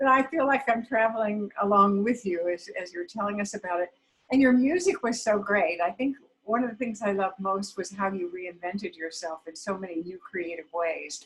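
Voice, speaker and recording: A somewhat breathy woman's voice at medium pitch, ordinary pitch variation, moderate pace. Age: 70s. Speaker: foundation co-founder and host. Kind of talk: hosting a video call event. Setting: video call.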